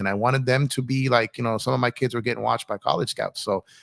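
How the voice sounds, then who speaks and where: Very fast speech from a man with an American accent, medium pitch, ordinary pitch variation and vocal fry comes through a very clean recording with a silent background and a dry, close sound with no echo. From Los Angeles, with New York and Midwest family. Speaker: sports live streamer, former basketball coach. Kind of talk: live stream chat. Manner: mumbled.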